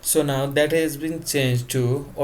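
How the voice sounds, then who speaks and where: A man with a non-native accent speaks at a medium pitch, somewhat breathy, with fairly even intonation. Audible room echo surrounds the voice. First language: not English. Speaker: tech tutorial youtuber. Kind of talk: tutorial. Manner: casual.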